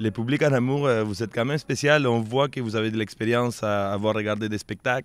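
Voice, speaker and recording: A man with a Quebec accent talks at a fairly quick pace, hardly pausing, with fairly even intonation. The recording is very clean, with a silent background. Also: medium pitch for a man. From Peru. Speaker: street performer. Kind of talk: interview.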